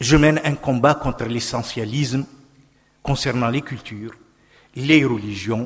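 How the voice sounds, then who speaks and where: A man speaks with fairly even intonation and a somewhat breathy voice. He leaves long, frequent pauses. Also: medium pitch for a man, fairly slow pace. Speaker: political scientist. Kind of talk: panel speech.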